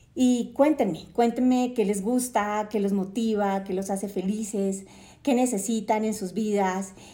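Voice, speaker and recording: With a dark, mellow tone and a fairly high pitch, a woman speaks at a fairly slow pace with fairly even intonation, with audible room echo. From Colombia, Cartagena (Caribbean coast). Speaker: podcast host, journalist and entrepreneur. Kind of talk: podcast monologue. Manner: hesitant, many fillers.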